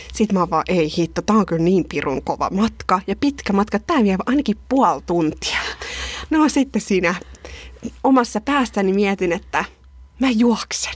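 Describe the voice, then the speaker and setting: A woman with a medium-pitched voice speaks at a fairly slow pace with lively intonation and very even loudness over noticeable background noise. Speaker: podcast host. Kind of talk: casual chat. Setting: studio.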